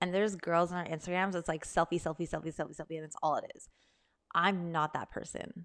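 Very fast and animated, a woman with a fairly low voice swings widely in loudness over a quiet background. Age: 30s. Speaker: wellness podcast host and online coach. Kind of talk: casual solo Q&A chat. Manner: animated, laughing often.

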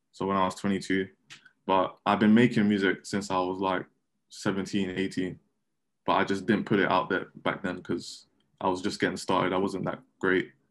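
Over a quiet background, a man with a very deep, low voice speaks at a moderate pace in a monotone, flat way, with long, frequent pauses. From London, England. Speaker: rapper and musician with a day job. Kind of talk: casual interview.

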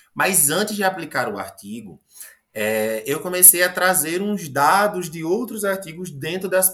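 Bright and sharp in tone, a man's voice moves at a fairly slow pace with lively intonation. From Paraíba, Brazilian Northeast (Agreste). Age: 20s. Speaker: biology teacher. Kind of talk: interview. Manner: animated storytelling.

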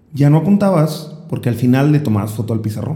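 A man's fairly high voice, dark and mellow in tone, somewhat breathy, at a fairly quick pace. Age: 20s. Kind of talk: casual chat.

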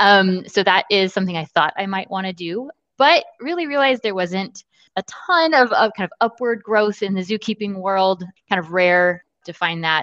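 A woman with an American accent talks at a moderate pace in a medium pitch, with ordinary pitch variation, a plain, everyday voice. The sound is dry and close with no echo. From Texas (Austin). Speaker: business executive. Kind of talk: interview.

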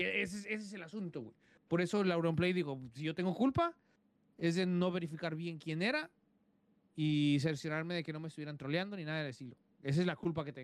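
High for a man, this voice moves at a fairly quick pace with ordinary pitch variation. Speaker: podcast co-host. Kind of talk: casual chat.

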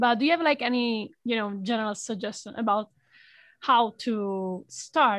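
The background is quiet as a woman speaks in a fairly high pitch. She has a plain, everyday voice. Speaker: student podcast host. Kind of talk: interview; scripted intro.

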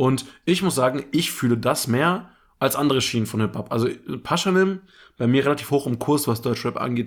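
A man talks in a normal speaking voice at a moderate pace, medium pitch and ordinary pitch variation. His loudness stays very even, and the recording is very clean with a silent background. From Germany, Sarstedt (Lower Saxony). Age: 20s. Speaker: podcast host. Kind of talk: casual chat.

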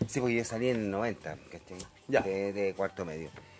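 A man with a Chilean accent at a fairly quick pace, over noticeable background noise. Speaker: interviewee recalling the 1980s. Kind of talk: casual interview. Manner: halting, repeats words.

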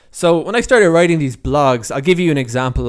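Lively intonation marks this man's speech, delivered with an Irish accent. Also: very clean recording, silent background. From Ireland. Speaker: podcast host and freelance writer. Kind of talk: solo podcast monologue. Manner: halting, with many repeats and fillers.

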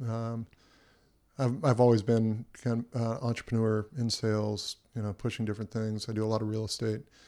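A man with a Californian accent at a medium pitch, dark and mellow in tone, in a monotone with flat intonation, at a moderate pace, on a very clean recording with a silent background. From Southern California. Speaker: entrepreneur and helicopter pilot. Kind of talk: casual chat. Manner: hesitant, with frequent fillers and restarts.

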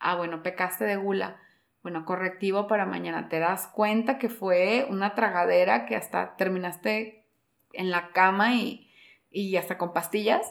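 An unremarkable speaking voice from a woman, with normal pitch movement. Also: medium pitch for a woman, fairly slow pace. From Peru, Lima. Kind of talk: casual interview on faith.

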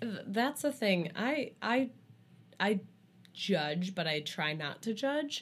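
Speaking very slowly with long, frequent pauses, a woman at medium pitch swings her pitch very widely in a somewhat breathy voice over a very clean recording with a silent background. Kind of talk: casual chat. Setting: studio.

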